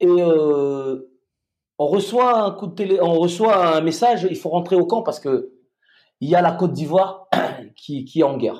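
A high-pitched man's voice with ordinary pitch variation, a fairly slow pace and long, frequent pauses. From Madagascar. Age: 40s. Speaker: retired special forces soldier. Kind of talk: casual interview.

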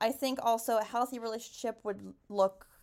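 In a very clean recording with a silent background, a woman talks with a Canadian accent. Her pitch variation is ordinary. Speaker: podcast host and teacher. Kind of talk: casual solo podcast talk. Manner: fast.

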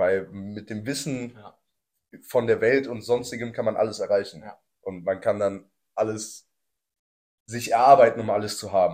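On a very clean recording with a silent background, a man at medium pitch speaks at a moderate pace with fairly even intonation, big swings in loudness, and long, frequent pauses. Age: 20s. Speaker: podcast host. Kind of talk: casual chat.

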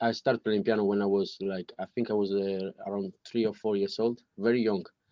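Italian accent, monotone, flat intonation and a moderate pace. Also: man. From Sardinia, Italy. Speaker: pianist. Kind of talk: casual interview. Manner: halting.

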